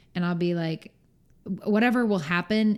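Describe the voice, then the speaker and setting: At a very fast pace, a woman speaks at a medium pitch with a dark, mellow tone and ordinary pitch variation. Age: 20s. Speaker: podcast guest, singer-songwriter. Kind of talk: casual chat. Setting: recorded at night in Orlando. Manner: loud.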